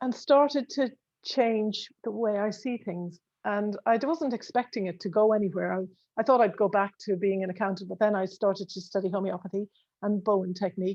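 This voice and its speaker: In an Irish accent, the speaker moves at a fairly quick pace with ordinary pitch variation against a quiet background. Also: woman, medium pitch for a woman. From Ireland. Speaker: accountant. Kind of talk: casual chat. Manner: halting.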